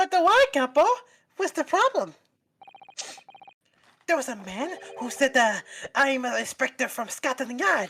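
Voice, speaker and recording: A high, female-sounding put-on character voice moves at a moderate pace with long, frequent pauses. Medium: audio drama. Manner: rambling, hesitant fillers.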